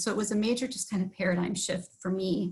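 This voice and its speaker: A woman with an American accent at a medium pitch, talking at a very fast pace with fairly even intonation over noticeable background noise. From Wisconsin (Sauk Prairie). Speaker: village board member. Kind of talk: personal testimony at public meeting. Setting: livestreamed board meeting.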